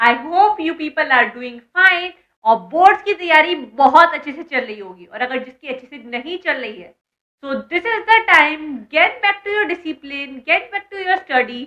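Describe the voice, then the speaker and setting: A woman projects a raised voice at a high pitch with a bright, sharp tone. Her pitch swings very widely, her loudness swings a lot, and her pace is moderate. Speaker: online educator and exam mentor. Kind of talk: educational vlog talking to students. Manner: casual, chatty.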